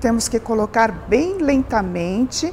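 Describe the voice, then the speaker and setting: Over noticeable background noise, a woman speaks at a fairly slow pace in a fairly high voice. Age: 60s. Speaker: aesthetic doctor. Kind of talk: interview. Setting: TV program on location.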